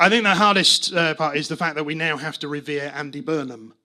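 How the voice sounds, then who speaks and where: Noticeable noise sits behind a man whose fairly high voice rattles along very fast. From northern England, Manchester. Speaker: stand-up comedian. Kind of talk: stand-up. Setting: stage with audience. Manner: hesitant, many fillers and restarts.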